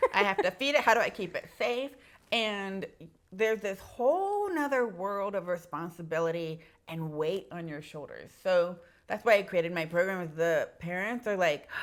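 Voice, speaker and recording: A woman speaks in a plain, everyday voice at a moderate pace. Her loudness swings widely while her pitch varies in an ordinary way. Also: medium pitch for a woman. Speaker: pediatric audiologist and business owner. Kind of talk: casual chat.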